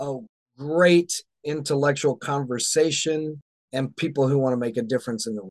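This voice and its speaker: A man with an American accent speaks at a moderate pace in an unremarkable speaking voice, his pitch fairly high with ordinary variation, the sound dry and close with no echo. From US South. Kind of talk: interview conversation.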